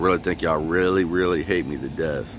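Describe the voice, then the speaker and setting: Over noticeable background noise, a man's very deep, low voice comes through dry with no echo, his intonation fairly even. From Michigan. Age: 40s. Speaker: vlogger. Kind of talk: personal video monologue. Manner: halting, repetitive. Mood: aggrieved, complaining. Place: street. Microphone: phone near.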